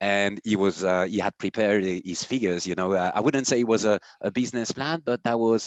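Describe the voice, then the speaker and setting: A man talks with a French accent. His pitch variation is ordinary. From France. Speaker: company CEO. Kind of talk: podcast conversation. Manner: hesitant, many fillers.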